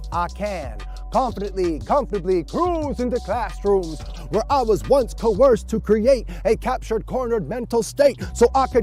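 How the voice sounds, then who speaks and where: A man speaking at a fairly slow pace over music in the background. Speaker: performance poet. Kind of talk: spoken word poetry performance.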